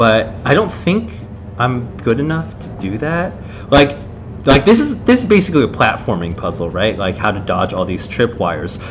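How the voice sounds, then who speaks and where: A loud man at medium pitch, with very wide pitch swings and a moderate pace, amid noticeable background noise and audible room echo. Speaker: game developer streaming level design commentary. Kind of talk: live gameplay commentary. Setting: live stream. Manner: casual, many fillers.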